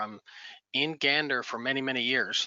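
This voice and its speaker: With a Newfoundland accent, a man speaks at a fairly quick pace and with fairly even intonation. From Bay of Islands, western Newfoundland. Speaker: community member, First Nation member. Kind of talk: casual virtual networking chat. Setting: video call. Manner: halting.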